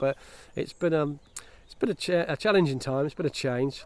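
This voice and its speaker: A man speaks with an English accent at a fairly quick pace. His pitch variation is ordinary. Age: 60s. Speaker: vlogger. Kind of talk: casual vlog monologue. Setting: outdoors. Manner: halting, many fillers and restarts.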